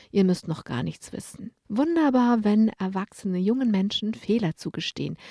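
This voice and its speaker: This woman's voice has a dark, mellow tone. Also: dry, close sound with no echo. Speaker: radio journalist and columnist. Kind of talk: scripted narration.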